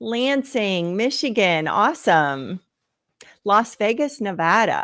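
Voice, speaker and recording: A woman with an American accent talks at a very slow pace in a fairly high voice. Her pitch swings very widely, and the recording is very clean with a silent background. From northwest Pennsylvania. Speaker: health coach. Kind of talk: live stream Q&A. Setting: live stream.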